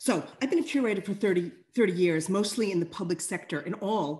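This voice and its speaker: A woman with a somewhat breathy voice and very wide pitch swings speaks at a moderate pace over a quiet background. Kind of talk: panel introduction. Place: home room. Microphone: video call.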